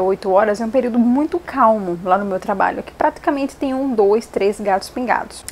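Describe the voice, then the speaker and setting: A woman's fairly high-pitched voice rises and falls with lively intonation amid noticeable background noise. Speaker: book vlogger. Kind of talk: casual vlog monologue. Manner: fast.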